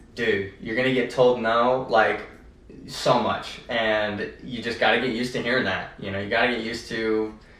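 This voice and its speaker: A man's monotone, flat delivery, with audible room echo and noticeable background noise. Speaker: ATM business owner and podcast co-host. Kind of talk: casual podcast chat. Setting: office. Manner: fast.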